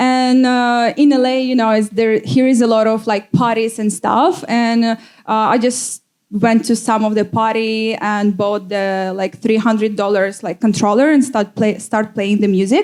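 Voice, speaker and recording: A woman's fairly high voice with a Russian accent, at a fairly slow pace with hardly any pauses and fairly even intonation. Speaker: DJ. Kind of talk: panel talk. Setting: stage with audience. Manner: halting.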